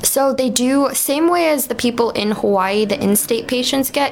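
A woman speaks in a high voice at a moderate pace with ordinary pitch variation. Noticeable background noise runs underneath. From New York. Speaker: cannabis dispensary worker. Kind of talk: casual interview chat.

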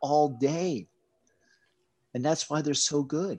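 Over a quiet background, a man speaks at a very slow pace, his fairly high pitch carrying a dark, mellow tone and fairly even intonation. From US, Pennsylvania Appalachia. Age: 40s. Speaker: kettlebell coach. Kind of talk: casual chat.

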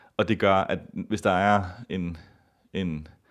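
A fairly low-pitched male voice, very cleanly recorded against a silent background. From Copenhagen, Denmark. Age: 30s. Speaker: ballet dancer and festival organiser. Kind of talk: interview.

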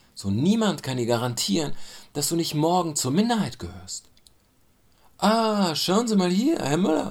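The pitch swings very widely. A man speaks at a moderate pace. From Germany. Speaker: commentator. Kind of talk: spoken commentary.

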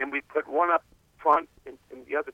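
Speaking in an American accent, a man keeps to a moderate pace. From Maryland. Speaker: caller. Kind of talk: casual chat. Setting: phone call.

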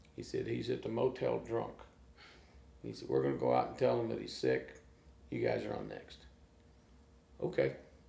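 A man speaks at a moderate pace in an animated tone, with big swings in loudness. Long, frequent pauses break up his speech. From small-town Oklahoma. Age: 60s. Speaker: blues guitarist. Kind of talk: casual interview chat. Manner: animated storytelling.

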